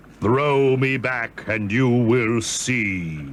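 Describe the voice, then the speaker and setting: Background noise comes through clearly. Over it, someone performs in a put-on character voice. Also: man, medium pitch for a man. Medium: read story. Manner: calm, commanding.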